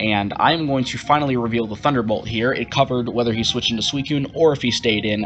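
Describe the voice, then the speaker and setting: Very fast, with hardly any pauses, a man talks at medium pitch. His intonation is fairly even, and there is noticeable background noise. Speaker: gaming youtuber, competitive player. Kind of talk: live gameplay commentary.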